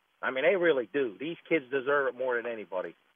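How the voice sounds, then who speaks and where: With a normal speaking voice, a man talks at a fairly quick pace and a fairly high pitch. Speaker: caller. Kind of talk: casual call-in comment. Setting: phone call.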